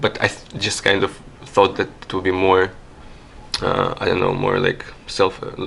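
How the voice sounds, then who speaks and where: Against noticeable background noise, a man with a non-native accent speaks at a moderate pace. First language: not English. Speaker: artist. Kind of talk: interview. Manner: halting, many fillers and repetitions.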